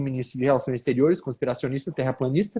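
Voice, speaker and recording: A man with a northern Paraná accent speaks in a dark, mellow tone in a very clean recording with a silent background. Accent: caipira accent of northern Paraná. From northern Paraná, Brazil. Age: young. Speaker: political author and commentator. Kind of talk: live panel discussion.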